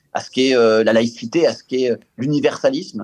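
A man has an unremarkable speaking voice, pitched at a medium level for a man with ordinary pitch variation. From Israel. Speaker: politician. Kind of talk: radio panel discussion.

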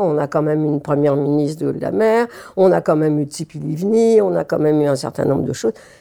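A woman speaks in a dark, mellow tone. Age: 80s+. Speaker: retired scientist and activist. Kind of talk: interview testimony.

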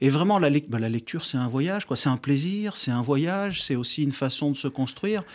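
An ordinary speaking voice: a fairly high-pitched man, fairly quick with hardly any pauses and lively intonation, on a very clean recording with a silent background. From France. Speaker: neuroscience researcher and author. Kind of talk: radio interview.

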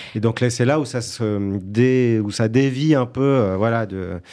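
The intonation is fairly even, and there is noticeable background noise. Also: man. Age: 30s. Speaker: actor and musician. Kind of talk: interview.

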